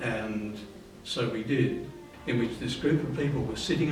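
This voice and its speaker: With an Australian accent, a man speaks at a fairly slow pace amid audible room echo and noticeable background noise. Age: 70s. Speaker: spiritual group member. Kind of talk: interview reminiscence. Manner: halting.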